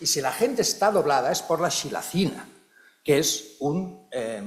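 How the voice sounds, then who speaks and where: Over noticeable background noise, a man speaks with lively intonation in a fairly high pitch. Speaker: psychology researcher and professor. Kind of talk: conference talk. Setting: conference hall with audience and interpreters. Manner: animated.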